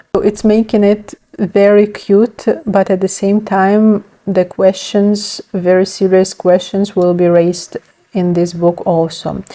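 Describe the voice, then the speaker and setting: With a Ukrainian accent, a woman speaks at a medium pitch and a fairly slow pace, with monotone, flat intonation and very even loudness. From Ukraine. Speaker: book vlogger. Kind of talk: casual vlog, book haul. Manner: hesitant, many fillers.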